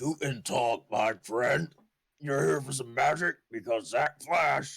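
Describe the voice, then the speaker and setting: A man puts on a raspy character voice at medium pitch. He speaks at a fairly slow pace. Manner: salesy, dramatic.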